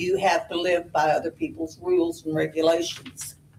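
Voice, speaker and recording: Noticeable background noise fills the clip. A woman speaks with an American accent. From southern Indiana. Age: 80s+. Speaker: resident giving public comment. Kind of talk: public comment at a government meeting. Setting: county meeting room, at a podium.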